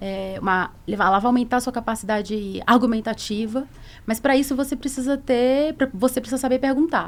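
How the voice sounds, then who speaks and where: Moderate pace with ordinary pitch variation. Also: woman, high pitch for a woman. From Bahia, Brazil (Salvador). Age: 40s. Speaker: corporate lawyer, head of legal and compliance. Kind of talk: podcast interview. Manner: hesitant, many fillers.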